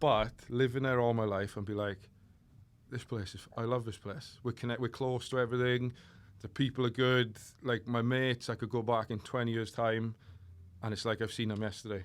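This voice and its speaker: On a very clean recording with a silent background, a man with a Welsh accent speaks at a medium pitch and a fairly quick pace with monotone, flat intonation. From South Wales, Port Talbot. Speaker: fitness coach. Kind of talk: casual chat. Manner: slurred, lazy diction.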